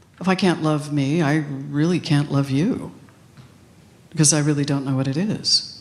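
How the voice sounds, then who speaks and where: Audible room echo surrounds a woman with a very deep, low pitch. She keeps a moderate pace and fairly even intonation. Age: 60s. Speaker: minister. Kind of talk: sermon. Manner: conversational with many filler ums.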